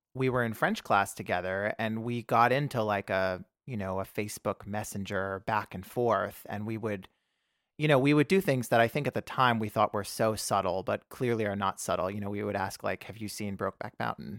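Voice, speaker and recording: An unremarkable speaking voice from a man with an American accent comes at a moderate pace and fairly low pitch with ordinary pitch variation, on a very clean recording with a silent background and a dry, close sound with no echo. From US, San Francisco Bay Area. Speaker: cartoonist and author. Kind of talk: casual chat.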